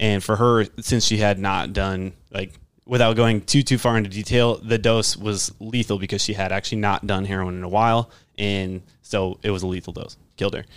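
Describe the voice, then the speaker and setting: A man with an American accent speaks at a moderate pace with a fairly low pitch. His intonation is monotone and flat on a very clean recording with a silent background. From Wisconsin, Washington County. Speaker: fitness and nutrition coach. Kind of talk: casual interview chat.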